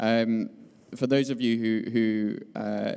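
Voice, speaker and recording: A man's dark, mellow voice with a British accent and fairly even intonation. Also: very clean recording, silent background. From UK. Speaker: conference panelist. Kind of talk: panel talk. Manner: halting, many fillers.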